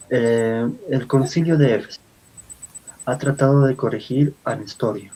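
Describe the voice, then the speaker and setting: A man talks with an Andean accent. His pitch variation is ordinary. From Bolivia. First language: Aymara (speaking Spanish). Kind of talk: lecture-style talk.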